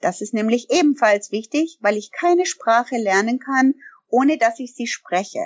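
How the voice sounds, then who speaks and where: Speaking with an English accent, a woman uses a high pitch and very wide pitch swings at a fairly slow pace. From Canada. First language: English (speaking German). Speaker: language trainer and business owner. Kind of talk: interview. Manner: frequent hesitations (ähm).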